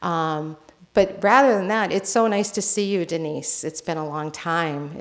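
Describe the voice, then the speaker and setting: A woman with a US East Coast accent speaks in a fairly low pitch with ordinary pitch variation. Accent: US East Coast, non-rhotic. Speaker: nurse and healthcare consultant. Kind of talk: conference presentation.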